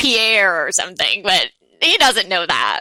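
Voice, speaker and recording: Her bright, sharp tone comes through a dry, close sound with no echo as the woman speaks at a fairly slow pace. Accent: New York. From New York. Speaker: blogger, former prosecutor. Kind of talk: casual interview chat.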